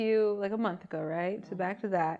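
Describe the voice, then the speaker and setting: Her pace is fairly quick as this woman speaks. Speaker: podcast host. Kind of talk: casual podcast conversation.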